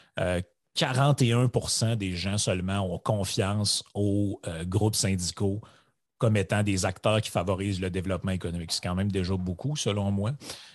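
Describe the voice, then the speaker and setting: A man speaks in an ordinary speaking voice at a fairly low pitch with ordinary pitch variation. He goes at a fairly slow pace against a quiet background. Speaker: podcast co-host. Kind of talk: casual chat.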